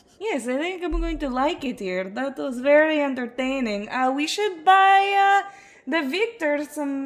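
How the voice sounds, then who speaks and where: At a moderate pace, a woman puts on a high-pitched character voice. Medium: actual play. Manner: halting, broken grammar.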